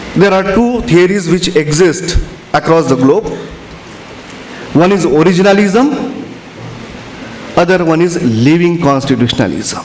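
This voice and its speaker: At a fairly slow pace, a man with a high voice and lively intonation takes long, frequent pauses, holding very even loudness amid audible room echo and noticeable background noise. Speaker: conference speaker on constitutional law. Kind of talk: lecture.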